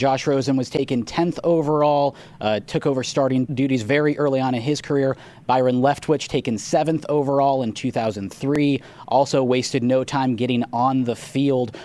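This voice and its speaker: A man's plain, everyday voice, medium in pitch with ordinary pitch variation at a moderate pace, in a very clean recording with a silent background. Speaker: radio host. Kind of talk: sports radio talk. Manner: casual, conversational.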